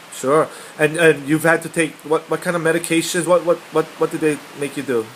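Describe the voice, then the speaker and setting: Over noticeable background noise, a man talks at a fairly quick pace. His intonation is monotone and flat. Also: fairly high pitch for a man. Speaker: life coach. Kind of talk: coaching interview. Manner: loud.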